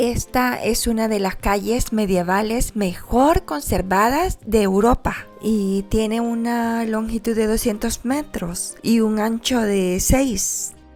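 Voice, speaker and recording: A woman speaks at a very slow pace with hardly any pauses. Music plays in the background. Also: fairly high pitch for a woman, ordinary pitch variation. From El Salvador. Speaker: travel vlogger. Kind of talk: travel vlog narration.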